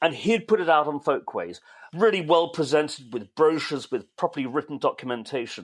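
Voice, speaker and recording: A man talks at a fairly quick pace in a fairly high pitch, with vocal fry. His pitch moves in an ordinary way. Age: 60s. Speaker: podcast co-host, music writer. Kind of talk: casual chat.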